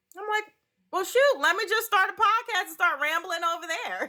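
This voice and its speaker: The voice has a bright, sharp tone and speaks with a New York accent. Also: woman. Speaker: author and social media influencer. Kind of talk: interview.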